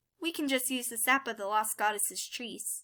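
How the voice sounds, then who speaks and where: A woman uses a put-on character voice pitched fairly high. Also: moderate pace. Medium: read story. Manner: timid, soft-spoken.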